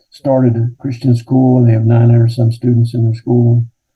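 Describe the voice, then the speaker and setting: An American-accented man speaks in a medium pitch. His intonation is monotone and flat, and his voice is somewhat breathy. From Kentucky. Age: 70s. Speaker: retired pastor. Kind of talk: interview.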